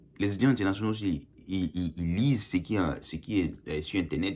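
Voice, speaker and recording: On a very clean recording with a silent background, a man talks fairly quickly with lively intonation. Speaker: YouTuber commenting on Canadian immigration. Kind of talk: casual vlog commentary. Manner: hesitant, repeats words.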